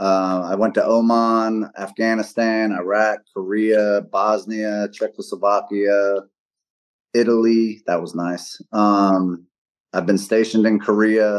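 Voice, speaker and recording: A man with an American accent speaks very slowly in a monotone, flat intonation at a fairly low pitch. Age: 40s. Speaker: retired Air Force military police. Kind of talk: casual podcast interview.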